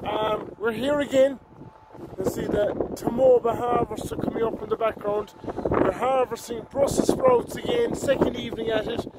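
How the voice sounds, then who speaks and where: Loud background noise sits behind a man speaking at a moderate pace, the sound dry with no echo. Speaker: farm vlogger. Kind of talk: casual vlog chat. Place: farm machine. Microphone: phone near.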